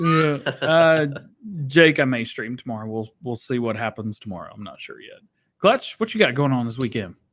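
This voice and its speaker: A man speaks in a normal speaking voice at a moderate pace. His intonation is lively, and his loudness swings widely. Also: medium pitch for a man. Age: 30s. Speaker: gaming podcast co-host. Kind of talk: casual chat.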